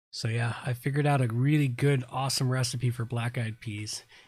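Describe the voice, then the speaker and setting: The recording is very clean with a silent background. A man with an American accent speaks in a somewhat breathy voice. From US South. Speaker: live stream host. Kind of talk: casual chat. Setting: live stream.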